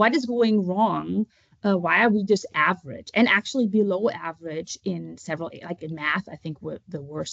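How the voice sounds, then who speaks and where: A woman with a German accent, medium pitch, ordinary pitch variation and a moderate pace. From Germany. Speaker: author and homeschooling parent. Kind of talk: interview. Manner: halting.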